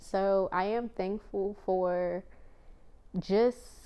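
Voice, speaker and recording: Her medium-pitched voice, a woman's, keeps fairly even intonation. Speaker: YouTube vlogger. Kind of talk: casual chat. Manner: halting, repeating words.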